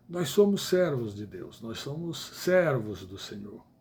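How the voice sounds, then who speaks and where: The speech unfolds at a fairly slow pace with very wide pitch swings. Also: man. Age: 70s. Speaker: evangelical preacher. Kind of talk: livestream sermon. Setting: live stream. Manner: halting.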